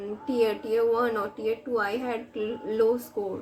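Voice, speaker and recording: A woman with a Bengali accent speaks at a fairly slow pace in a fairly high pitch. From India, Bengal. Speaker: government employee and exam-prep YouTuber. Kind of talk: casual Q&A vlog. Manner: hesitant with fillers.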